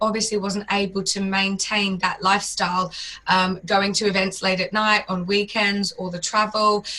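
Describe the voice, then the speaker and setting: Over noticeable background noise, a woman with a medium pitch talks in a monotone, flat way with hardly any pauses. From Australia. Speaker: fitness business founder. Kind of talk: interview.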